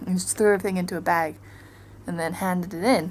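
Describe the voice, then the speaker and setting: A soft-spoken woman talks at a very fast pace. Her pitch is fairly low and her intonation fairly even. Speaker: travel vlogger. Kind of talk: casual vlog monologue. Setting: hotel hallway. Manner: chatty, halting with fillers.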